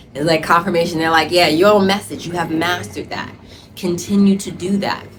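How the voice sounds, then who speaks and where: Noticeable background noise behind a female voice of ordinary pitch variation. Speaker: tarot reader. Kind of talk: tarot reading video. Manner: loud; animated.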